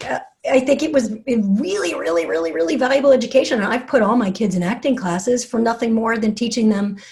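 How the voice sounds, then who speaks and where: Over noticeable background noise, a woman with a fairly high pitch talks at a very fast pace in an animated tone with lively intonation. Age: 40s. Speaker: magazine content director. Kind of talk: interview.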